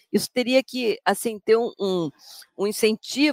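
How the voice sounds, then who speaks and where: Her voice fairly high in pitch, a woman speaks at a moderate pace with a dry, close sound and no echo. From Rio de Janeiro, Brazil. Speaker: English language professor. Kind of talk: interview.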